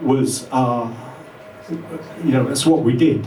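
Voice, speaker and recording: With audible room echo and noticeable background noise, a man of medium pitch talks at a moderate pace. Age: 60s. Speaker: electronic musician. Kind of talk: interview.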